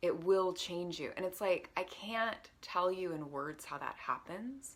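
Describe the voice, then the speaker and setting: A woman at a medium pitch and a fairly slow pace, with ordinary pitch variation. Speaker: meditation coach. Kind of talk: casual talk to camera. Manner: animated.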